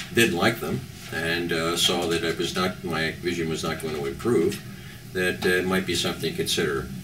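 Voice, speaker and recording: A man with a very deep, low pitch is heard with audible room echo and noticeable background noise. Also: ordinary pitch variation, moderate pace. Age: 70s. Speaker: patient giving a testimonial. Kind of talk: testimonial interview. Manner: halting, many fillers.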